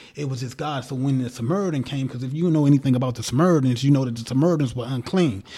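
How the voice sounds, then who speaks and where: A man's very fast, medium-pitched speech with hardly any pauses and ordinary pitch variation, over noticeable background noise. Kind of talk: casual chat.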